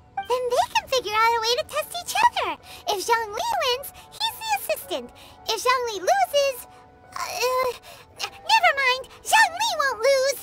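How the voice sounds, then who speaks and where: An extremely high, squeaky put-on character voice comes through over faint background music. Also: moderate pace. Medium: machinima. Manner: blunt, energetic.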